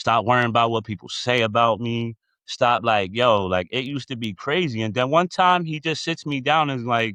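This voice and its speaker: A man speaks at medium pitch and a moderate pace with hardly any pauses, his bright, sharp tone carrying ordinary pitch variation in a dry, close sound with no echo over a quiet background. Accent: American. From Reading, Pennsylvania, US. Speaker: community leader. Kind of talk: podcast interview. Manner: animated.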